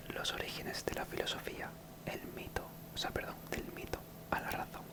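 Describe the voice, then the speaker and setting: The voice is whispering at a moderate pace. Noticeable background noise can be heard. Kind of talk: textbook reading. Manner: whispered.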